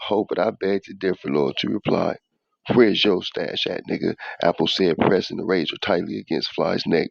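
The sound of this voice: Ordinary pitch variation in an unforced reading voice, against a quiet background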